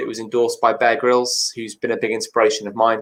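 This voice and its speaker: Speaking at a fairly quick pace, a man talks with a northern English accent. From Cheshire, England. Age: 20s. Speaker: mountaineer and motivational speaker. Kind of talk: interview answer.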